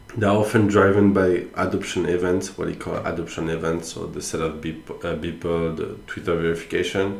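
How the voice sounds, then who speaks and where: Amid noticeable background noise and audible room echo, a man talks fairly quickly in a very deep, low pitch with monotone, flat intonation. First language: not English. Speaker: NFT commentator. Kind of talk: casual solo commentary. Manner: halting, many fillers.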